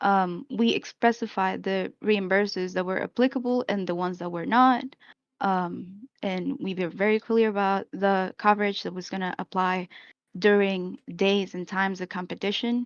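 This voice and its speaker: A woman with a Spanish accent at a moderate pace, fairly even in intonation, with a dry, close sound and no echo. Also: medium pitch for a woman. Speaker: esports team manager. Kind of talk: explanation in a live-stream discussion. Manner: hesitant, many fillers.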